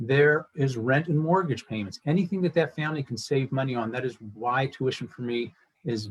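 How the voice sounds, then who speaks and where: Somewhat breathy, a man of medium pitch speaks in an American accent at a moderate pace with ordinary pitch variation. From Pittsburgh, western Pennsylvania. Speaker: school fundraising coordinator. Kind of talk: event presentation.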